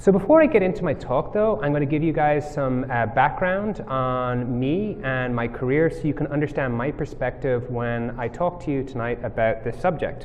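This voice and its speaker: Amid noticeable background noise, a man with a fairly high pitch speaks at a moderate pace with ordinary pitch variation and hardly any pauses. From Ireland. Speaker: mobile software developer, conference speaker. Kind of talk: tech talk presentation. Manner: casual, many filler words.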